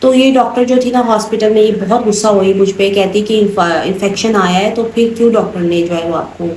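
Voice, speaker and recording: A woman at medium pitch, moderate pace and ordinary pitch variation, with noticeable background noise and audible room echo. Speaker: vlogger. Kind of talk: casual vlog talk.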